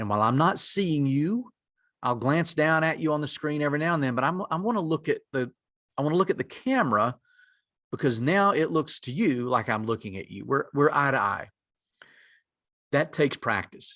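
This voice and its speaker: On a very clean recording with a silent background, a man with a strong North Carolina mountain accent, a fairly high pitch and a bright, sharp tone speaks at a moderate pace with lively intonation and long, frequent pauses. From western North Carolina mountains. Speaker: executive director of a native community lender, presenter. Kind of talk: conference presentation.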